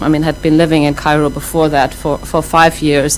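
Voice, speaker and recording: Over music in the background, a woman with a German accent speaks in a very deep, low pitch with monotone, flat intonation. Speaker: professor. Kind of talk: lecture. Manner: many fillers and restarts.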